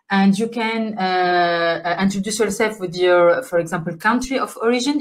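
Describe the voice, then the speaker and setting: A woman with an Arabic accent talks at a moderate pace with ordinary pitch variation. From Tunisia. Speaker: workshop facilitator. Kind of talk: virtual workshop. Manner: halting.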